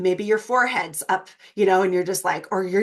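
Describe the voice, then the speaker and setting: A woman at medium pitch, animated in tone, at a fairly quick pace. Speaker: holistic wellness teacher. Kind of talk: live online workshop.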